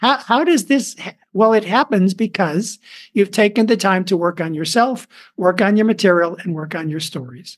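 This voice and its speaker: A man with a high voice and lively intonation at a moderate pace. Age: 70s. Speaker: professional speaker and storytelling coach. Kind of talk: casual interview with storytelling.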